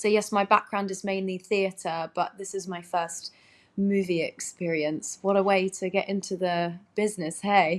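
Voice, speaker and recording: A woman with an English accent, medium-pitched and monotone, flat, at a moderate pace. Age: 30s. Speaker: actress. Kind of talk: interview chat.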